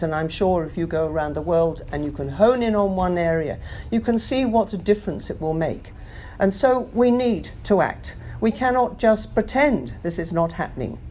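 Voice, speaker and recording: A woman speaks with an English accent at a medium pitch. Her pace is moderate and her intonation lively. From London. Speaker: climate action campaigner. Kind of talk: interview answer.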